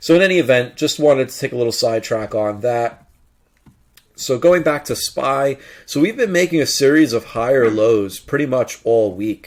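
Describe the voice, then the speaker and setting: This is a man with a normal speaking voice at a medium pitch. He talks at a moderate pace with lively intonation. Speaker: stock market analyst. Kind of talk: tutorial. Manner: casual.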